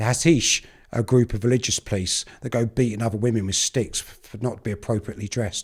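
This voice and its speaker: Talking at a very fast pace, a man with a medium-pitched, somewhat breathy voice makes big swings in loudness on a very clean recording with a silent background. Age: 50s. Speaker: documentary presenter. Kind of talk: casual chat. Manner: animated.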